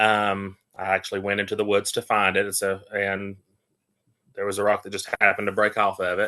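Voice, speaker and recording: With a strong Appalachian accent, a man speaks at a fairly quick pace in a bright, sharp tone, his fairly low voice delivered in a monotone, flat intonation. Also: quiet background. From Appalachia, Western North Carolina. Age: 30s. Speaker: interfaith minister and Reiki healer. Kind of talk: casual interview.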